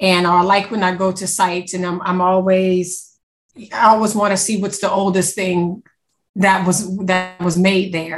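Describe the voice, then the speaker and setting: A woman's somewhat breathy, medium-pitched voice in a Louisiana accent at a moderate pace. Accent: US South, Louisiana. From Louisiana, Wallace. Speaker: podcast co-host, museum marketing director. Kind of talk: interview.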